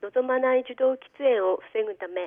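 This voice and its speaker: A woman speaks in a plain, everyday voice. Her pitch is fairly high and her pace fairly slow. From Aomori, Japan (Aomori city). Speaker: public health nurse. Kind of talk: radio interview. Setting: phone call.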